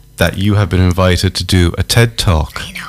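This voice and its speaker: A man speaks fairly quickly in an Irish accent. His pitch is very deep and low. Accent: Irish (Galway). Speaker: community radio host. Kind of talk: radio interview. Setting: radio studio.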